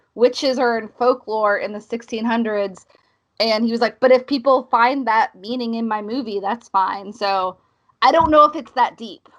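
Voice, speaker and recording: A woman's fairly high voice with an American accent, fairly even intonation, a moderate pace, and a quiet background. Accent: fluctuating Southern and northern US. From US South. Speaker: podcast co-host, film reviewer. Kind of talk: casual chat.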